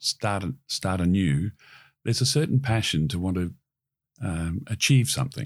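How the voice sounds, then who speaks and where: A man with an Australian accent speaks at a moderate pace in a very deep, low pitch with very wide pitch swings, in a very clean recording with a silent background. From Queensland, Australia. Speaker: marine industry CEO. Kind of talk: interview.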